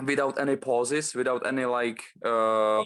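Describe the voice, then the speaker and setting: This man speaks with a Czech accent. His intonation stays fairly even. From Czech Republic. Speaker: bodybuilder. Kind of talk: casual interview. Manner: halting, many fillers.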